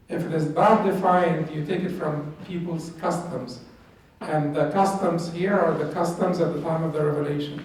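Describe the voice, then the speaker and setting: Noticeable background noise and audible room echo surround a man speaking at a moderate pace with an Arabic accent. His pitch is high and his intonation fairly even. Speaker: Islamic studies teacher. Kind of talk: lecture.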